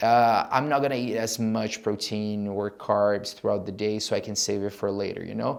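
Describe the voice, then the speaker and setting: A man talks in a Brazilian accent with a fairly low pitch. He leaves hardly any pauses. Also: fairly even intonation, moderate pace. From Brazil (Rio de Janeiro). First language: Portuguese. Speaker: travel business founder. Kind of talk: podcast interview. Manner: casual, hesitant with fillers.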